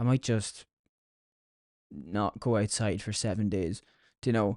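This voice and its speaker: A man speaks in a dark, mellow tone with a dry, close sound with no echo, over a quiet background. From Ireland, County Louth (Dundalk). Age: 20s. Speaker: podcast host. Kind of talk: solo podcast monologue. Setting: at home in his room. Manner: casual, conversational. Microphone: good microphone, isolates voice.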